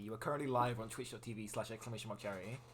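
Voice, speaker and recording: A man's very fast, animated speech at a medium pitch, with ordinary pitch variation. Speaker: charity stream host. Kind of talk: casual chat. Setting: voice call. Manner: loud.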